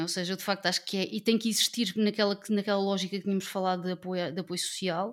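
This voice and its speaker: A woman has an unremarkable speaking voice at medium pitch with fairly even intonation and a fairly quick pace. The recording is very clean, with a silent background. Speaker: political party representative, panelist. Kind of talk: political panel discussion.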